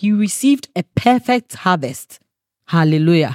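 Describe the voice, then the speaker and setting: A woman speaks with a Ghanaian accent in an animated tone, her pitch swinging very widely. The sound is dry and close, with no echo. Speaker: preacher. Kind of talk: sermon. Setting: church. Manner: animated, fervent preaching with call-and-response energy and exclamations; punctuated by laughter and emphatic repetition.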